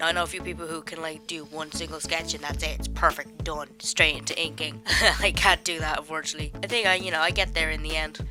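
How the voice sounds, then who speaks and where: Music plays in the background. Over it, a woman talks at a very fast pace. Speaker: illustrator. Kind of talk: casual voice-over for drawing video.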